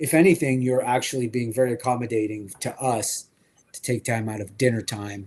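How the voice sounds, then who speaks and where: The speech moves at a fairly quick pace, showing ordinary pitch variation and big swings in loudness. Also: man, medium pitch for a man. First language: French. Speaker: toy collecting show host. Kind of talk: casual chat. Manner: animated.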